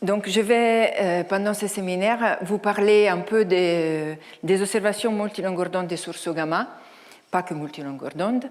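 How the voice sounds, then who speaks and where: Audible room echo surrounds a woman speaking with an Italian accent at medium pitch with ordinary pitch variation. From Italy. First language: Italian (speaking French). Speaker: astrophysicist, research director. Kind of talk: lecture. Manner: halting, many hesitations.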